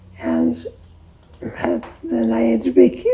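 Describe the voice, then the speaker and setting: A woman with an American accent, very deep and low in pitch, at a very slow pace over noticeable background noise. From US Midwest. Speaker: elderly interviewee, former restaurant owner. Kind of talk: oral history interview.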